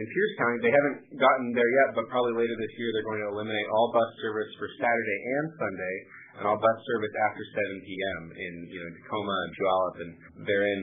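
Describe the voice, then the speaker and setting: The man's pitch is fairly low, and he talks very fast. Light background noise can be heard. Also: ordinary pitch variation. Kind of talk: call-in answer on policy. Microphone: phone line.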